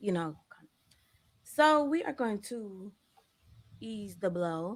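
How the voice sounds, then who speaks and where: A soft-spoken woman with an American accent, medium pitch and a fairly slow pace, on a very clean recording with a silent background. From Arkansas. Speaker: podcast host. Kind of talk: casual podcast interview. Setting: at home.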